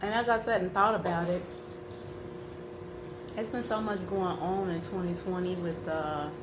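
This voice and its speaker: Amid noticeable background noise, a woman speaks at a moderate pace and medium pitch with ordinary pitch variation, leaving long, frequent pauses. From Chicago area, US. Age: 30s. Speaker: mukbang / ASMR food YouTuber. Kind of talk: casual talk to camera.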